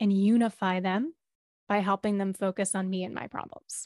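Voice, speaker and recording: Dry, close sound with no echo, a quiet background, and a moderate pace. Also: woman. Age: 30s. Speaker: therapist and breathwork facilitator. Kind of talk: interview conversation, guided meditation.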